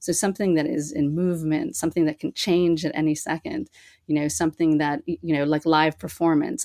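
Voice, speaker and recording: This is an unremarkable speaking voice with an American accent at a fairly quick pace. The sound is dry and close, with no echo. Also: woman. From US Northeast (Boston). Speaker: artist. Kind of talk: interview.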